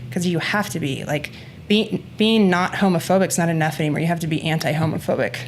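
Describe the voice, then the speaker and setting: This woman speaks at a very fast pace in a fairly low pitch. Her pitch varies in an ordinary way, with music playing in the background. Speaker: gym owner and podcast co-host. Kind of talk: casual podcast chat.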